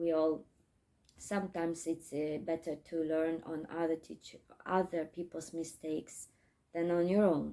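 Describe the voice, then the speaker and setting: A woman speaks with a Russian accent and a dark, mellow tone. Her pitch is fairly low and her intonation flat and monotone. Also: fairly slow pace. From Crimea, Ukraine. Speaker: English teacher. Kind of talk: casual vlog talk. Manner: halting, many fillers.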